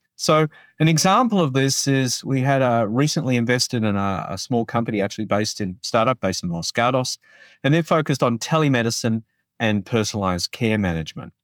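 A man with an Australian accent talks at a very fast pace, medium in pitch with lively intonation. The sound is dry and close with no echo, on a very clean recording with a silent background. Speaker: healthcare executive. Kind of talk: interview. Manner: halting.

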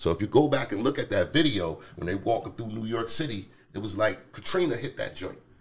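A man speaks fairly quickly in a somewhat breathy voice. His intonation is lively. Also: medium pitch for a man. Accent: American. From Harrisburg, Pennsylvania. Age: 40s. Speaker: city council candidate. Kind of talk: casual interview. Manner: halting, many fillers.

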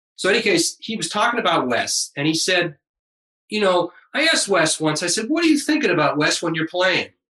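This man talks at a fairly quick pace in a raised, projected voice, his high pitch making very wide swings. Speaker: jazz guitarist. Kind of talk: casual interview.

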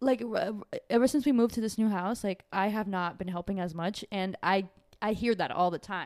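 A normal speaking voice talks at a fairly quick pace with ordinary pitch variation. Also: woman, medium pitch for a woman. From Brazil, raised in New York area from age nine. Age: 20s. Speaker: friend guest. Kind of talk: casual chat.

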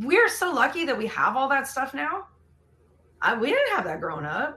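A woman's high, raised, projected voice with a Californian accent, very wide pitch swings, a moderate pace and long, frequent pauses. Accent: Californian American English. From San Diego, California. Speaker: fitness trainer. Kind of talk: casual chat.

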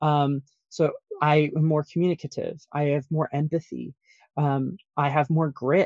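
In a dry, close sound with no echo, a man with an American accent speaks at a fairly slow pace in a fairly high, monotone voice with flat intonation and very even loudness. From Colorado Springs, US. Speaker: author, ex-pastor. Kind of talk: casual interview. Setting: recording in a closet.

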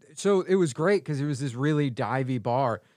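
A man with a New York accent speaks at a fairly high pitch with ordinary pitch variation. The sound is dry and close with no echo, against a quiet background. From New York, Staten Island. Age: 30s. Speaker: stand-up comedian. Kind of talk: casual chat.

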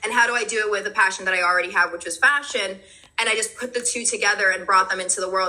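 A woman speaks at a very fast pace in an animated tone, her medium pitch moving with ordinary variation over noticeable background noise. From New Jersey, born in Brooklyn. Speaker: meditation teacher and clothing brand founder. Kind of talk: casual chat.

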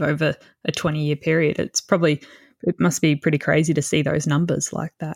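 A woman with an Australian accent talks at a fairly quick pace in a very deep, low pitch with fairly even intonation. The recording is very clean and dry, close with no echo and a silent background. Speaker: podcast host. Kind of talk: interview; scripted intro.

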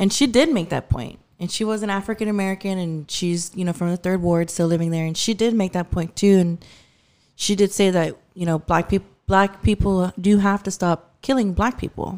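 At a moderate pace and with ordinary pitch variation, the speaker talks in a Texan accent on a very clean recording with a silent background. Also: woman, medium pitch for a woman. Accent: Texan twang. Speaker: podcast guest. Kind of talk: casual chat.

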